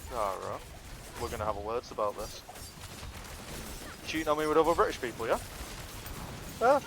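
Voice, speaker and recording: Noticeable background noise sits behind a man talking. He moves at a fairly quick pace yet leaves long, frequent pauses. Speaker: gamer on a livestream. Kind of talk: casual chat. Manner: animated.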